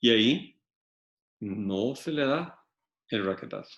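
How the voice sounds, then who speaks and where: A man with ordinary pitch variation. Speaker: law lecturer. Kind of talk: lecture.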